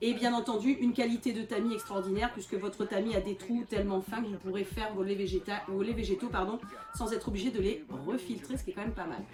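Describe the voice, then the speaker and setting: With noticeable background noise, a woman speaks very fast in a fairly high pitch and fairly even intonation. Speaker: product demonstrator. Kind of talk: product demonstration tutorial. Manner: loud.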